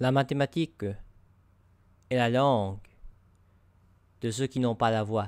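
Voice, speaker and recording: A man with an American accent at a medium pitch, fairly even in intonation, fairly slow with long, frequent pauses, in a dry, close sound with no echo on a very clean recording with a silent background. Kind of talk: narrated story.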